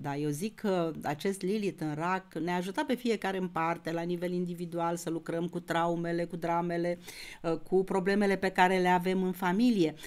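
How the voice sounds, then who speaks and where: In a plain, everyday voice, a woman talks at a moderate pace with fairly even intonation and a fairly low pitch. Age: 60s. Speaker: astrologer. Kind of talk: astrology lecture video. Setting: YouTube video recording. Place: home room.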